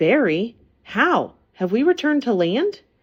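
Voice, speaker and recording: A woman performs a put-on character voice at a high pitch. Her pitch swings very wide. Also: fairly slow pace. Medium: read story. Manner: polite, inquisitive.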